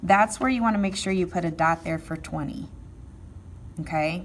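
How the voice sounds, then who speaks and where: Breath is somewhat audible in the voice. A woman is speaking, her pitch varying in an ordinary way. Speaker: math teacher. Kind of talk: tutorial.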